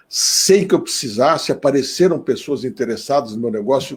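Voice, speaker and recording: Somewhat breathy with a dark, mellow tone, a man speaks at a fairly high pitch with lively intonation. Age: 60s. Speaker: politician. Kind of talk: live stream panel talk.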